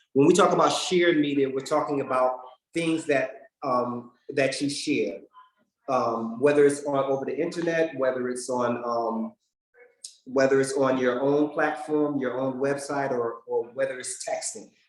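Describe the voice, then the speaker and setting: At a moderate pace, a man with a fairly high pitch speaks with fairly even intonation. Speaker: PR presenter, government affairs staff. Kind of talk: workshop presentation. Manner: halting, many fillers and repeats.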